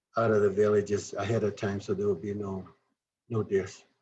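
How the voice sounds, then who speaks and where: Fairly low in pitch, a man's voice has a dark, mellow tone and is somewhat breathy. He speaks at a fairly quick pace. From southern Arizona, Tohono O'odham Nation. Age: 60s. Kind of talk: presentation. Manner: halting, with fillers and self-corrections.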